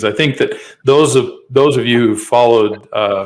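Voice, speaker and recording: The speaker is a man with a Western US accent. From Utah, US. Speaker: podcast host. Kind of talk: interview.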